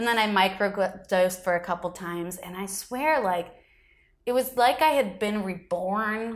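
A woman with an American accent and medium pitch talks at a moderate pace with ordinary pitch variation and big swings in loudness, recorded very cleanly against a silent background. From Michigan and Florida. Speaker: comedian. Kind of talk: casual chat.

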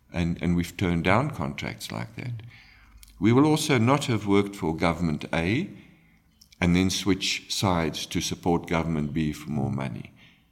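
A man speaks with lively intonation and very deep, low pitch. Vocal fry runs through his voice. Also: moderate pace. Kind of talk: interview. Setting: guesthouse recording. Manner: hesitant, frequent ums.

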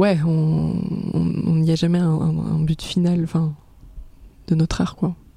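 A woman speaks at a very slow pace in a fairly low pitch, with long, frequent pauses and monotone, flat intonation. Her loudness is very even, and there is noticeable background noise. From Aix-en-Provence, southern France. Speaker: pop singer. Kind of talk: casual chat. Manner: hesitant, many fillers.

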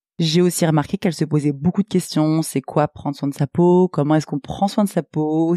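A woman's very deep, low voice, dark and mellow in tone, at a moderate pace, with a dry, close sound with no echo on a very clean recording with a silent background. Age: 30s. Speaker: skin therapist and podcast host. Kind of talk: solo podcast monologue.

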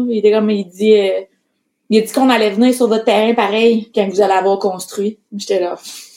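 With a Quebec accent, a woman talks at a moderate pace in a fairly high voice that has a dark, mellow tone. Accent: Québécois French. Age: 20s. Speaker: entrepreneur. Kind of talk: casual chat.

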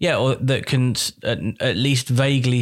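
The recording is very clean, with a silent background. A man with a British accent talks at a fairly slow pace. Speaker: podcast co-host. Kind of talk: casual comedic chat.

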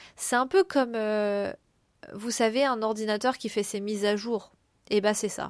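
Speaking at a moderate pace with long, frequent pauses, a woman keeps a fairly high pitch and fairly even intonation. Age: 30s. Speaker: podcast host, artist. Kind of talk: personal reflective monologue. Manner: hesitant, many fillers.

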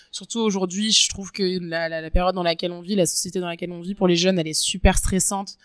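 A woman speaks very fast at a medium pitch with monotone, flat intonation. The sound is dry and close with no echo, on a very clean recording with a silent background. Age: 20s. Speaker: waitress. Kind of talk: interview, personal story. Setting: outdoors.

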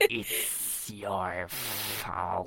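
A put-on character voice, low in pitch and hissing, over light background noise. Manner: accusing, menacing.

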